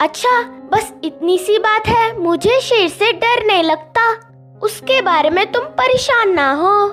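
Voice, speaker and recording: A woman performs a cartoonish character voice at a fairly slow pace while clear music plays in the background. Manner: calm, steady.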